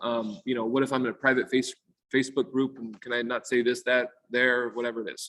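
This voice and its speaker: Delivery is fairly quick, with monotone, flat intonation. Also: man. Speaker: real estate lawyer. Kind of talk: presentation on a video call. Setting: video call. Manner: fast.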